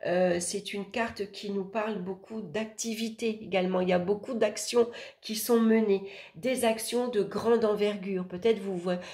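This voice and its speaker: A woman at medium pitch, fairly slow in pace, with fairly even intonation. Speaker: tarot reader, astrologer. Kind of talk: tarot horoscope reading. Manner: hesitant, with fillers.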